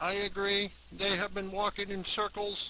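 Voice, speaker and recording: A man performs a put-on character voice with a high pitch. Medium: machinima. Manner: stiff, formal.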